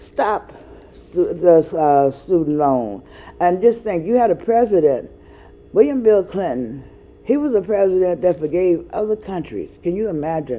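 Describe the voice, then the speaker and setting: A woman with an American accent, fairly low-pitched with a dark, mellow tone, very wide pitch swings, at a moderate pace. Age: 60s. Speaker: educator and ministry board member. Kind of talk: casual talk show monologue. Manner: halting, many fillers.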